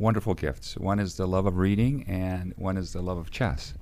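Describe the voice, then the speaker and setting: A speaker with an Arabic accent talks at a moderate pace in a dark, mellow tone with ordinary pitch variation. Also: man. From Cairo, Egypt. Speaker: company CEO. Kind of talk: interview.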